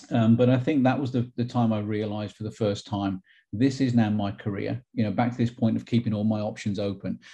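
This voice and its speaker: At a fairly quick pace, a man speaks in a fairly low pitch with a dark, mellow tone and fairly even intonation. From Wolverhampton, England. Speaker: nuclear scientist, interviewee. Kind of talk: interview, casual conversation. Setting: video call.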